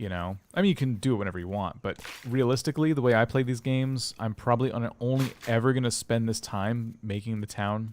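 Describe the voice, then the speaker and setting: Ordinary pitch variation and a moderate speed from a man at medium pitch, the recording very clean and the background silent. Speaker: gaming streamer. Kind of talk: live gameplay commentary. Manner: loud; hesitant, with many fillers and restarts.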